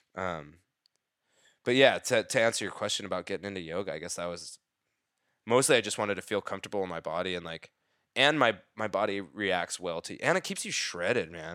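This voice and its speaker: Speaking in a normal speaking voice, a man with a fairly low pitch talks fairly quickly, his loudness swinging widely and his pitch varying in an ordinary way, on a very clean recording with a silent background. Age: 30s. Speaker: dancer. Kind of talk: casual chat.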